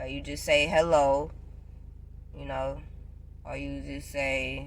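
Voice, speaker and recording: Audible room echo surrounds a woman speaking at a very slow pace. Her loudness swings widely. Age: 20s. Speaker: vlogger. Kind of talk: casual vlog tutorial.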